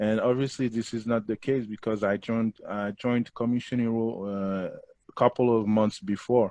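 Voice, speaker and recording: At a moderate pace, a man speaks at a medium pitch in a dark, mellow tone with fairly even intonation, the sound dry and close with no echo. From Quebec, Montreal. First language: Creole. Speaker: former engineer, course student. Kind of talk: casual interview. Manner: halting.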